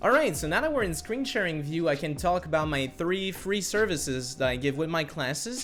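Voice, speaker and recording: With a Quebec accent, a man speaks at a fairly quick pace with hardly any pauses. His fairly high pitch carries lively intonation, with music in the background. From Quebec, Canada. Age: 20s. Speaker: music teacher. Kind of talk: tutorial.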